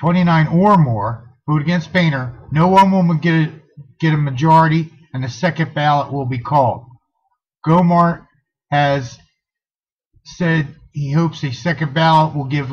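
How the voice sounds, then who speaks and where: A man's somewhat breathy, fairly high voice at a moderate pace with fairly even intonation. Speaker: political activist vlogger. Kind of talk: impromptu political call to action.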